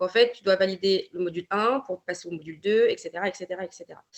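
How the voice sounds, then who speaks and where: A woman's medium-pitched voice, with ordinary pitch variation, moves along at a fairly quick pace. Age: 20s. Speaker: naturopathy consultant. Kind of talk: podcast interview. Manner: hesitant, many fillers.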